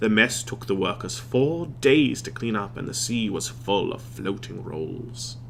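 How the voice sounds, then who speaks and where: With a dramatic, playful tone and fairly even intonation, the speaker keeps a moderate pace over noticeable background noise. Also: man. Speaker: voice actor. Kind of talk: children's book reading.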